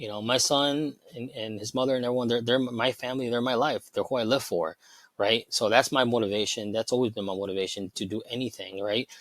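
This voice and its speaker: Fairly quick delivery with a Chicago accent and fairly even intonation. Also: man, medium pitch for a man. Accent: Chicago American English. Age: 40s. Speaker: cybersecurity professional sharing weight loss story. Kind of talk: casual interview chat. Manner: halting, with many restarts.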